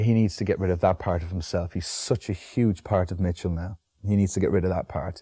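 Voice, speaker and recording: The voice is dark, mellow and somewhat breathy, with fairly even intonation at a very fast pace. The recording is very clean, with a silent background. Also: man. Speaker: actor. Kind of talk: interview answer. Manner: soft-spoken, relaxed.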